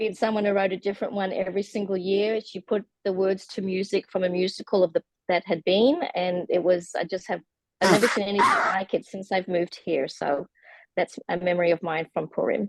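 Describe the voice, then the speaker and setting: In an Australian accent, the speaker moves at a fairly quick pace with fairly even intonation, the sound dry and close with no echo. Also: woman, medium pitch for a woman. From Australia, Melbourne. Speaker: class participant. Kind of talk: casual chat. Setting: video call.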